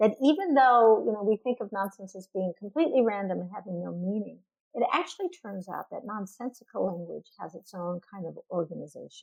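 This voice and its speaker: At a fairly quick pace with hardly any pauses, a woman speaks in an unremarkable speaking voice of medium pitch, her loudness swinging widely. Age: 60s. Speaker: linguist and author. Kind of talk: interview. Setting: podcast interview.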